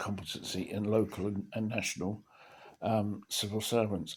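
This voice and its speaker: A man speaks at a moderate pace. His pitch is fairly low. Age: 70s. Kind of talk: casual talk to camera. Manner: rambling, hesitant.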